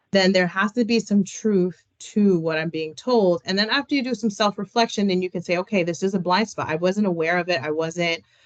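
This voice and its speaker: The sound is dry and close with no echo as a woman talks at a fairly quick pace, her pitch varying in an ordinary way. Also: medium pitch for a woman, hardly any pauses. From New York City, Washington Heights. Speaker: career coach and keynote speaker. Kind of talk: keynote presentation. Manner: fast.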